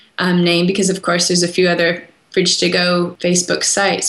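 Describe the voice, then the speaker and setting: This woman has an ordinary speaking voice at a medium pitch. She talks at a fairly quick pace. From Canada. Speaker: small business founder. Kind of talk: interview.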